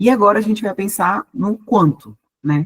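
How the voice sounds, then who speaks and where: The voice is somewhat breathy, with a dry, close sound and no echo. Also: woman. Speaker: university professor, business mentor. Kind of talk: online workshop lecture.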